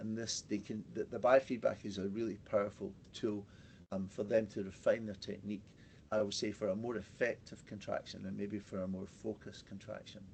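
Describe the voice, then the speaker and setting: At a fairly quick pace, a man with a fairly low pitch speaks with a Scottish accent. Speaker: pelvic health physiotherapist. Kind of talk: webinar presentation. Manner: fast; halting, many fillers and repetitions.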